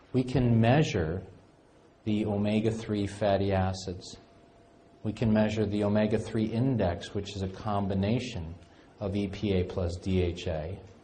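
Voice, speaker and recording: Fairly even intonation moves at a moderate pace against audible room echo. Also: man, fairly low pitch for a man. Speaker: functional medicine clinician lecturer. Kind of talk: lecture.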